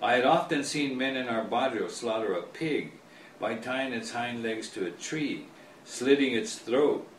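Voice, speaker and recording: A man with an American accent talks at a fairly slow pace and medium pitch, with ordinary pitch variation, against noticeable background noise. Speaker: author. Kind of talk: author reading his own book, storytelling.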